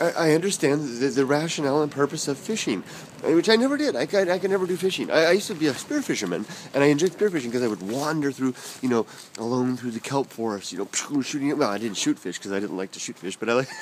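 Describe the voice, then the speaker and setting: Over noticeable background noise, a man races along very fast at a fairly high pitch, with very wide pitch swings. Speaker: vlogger. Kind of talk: stream-of-consciousness vlog monologue. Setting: outdoors, walking. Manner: halting, many repetitions and fillers.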